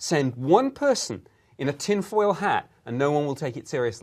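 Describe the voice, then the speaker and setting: A man with a British accent, fairly high pitch, lively intonation and a moderate pace, on a very clean recording with a silent background. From Britain. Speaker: former government UFO investigator. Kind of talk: interview.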